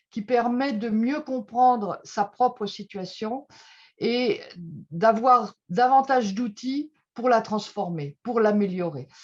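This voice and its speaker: A woman's fairly high voice at a very slow pace, over a quiet background. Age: 60s. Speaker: trade unionist and association board member. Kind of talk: testimony. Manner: halting, many filler sounds.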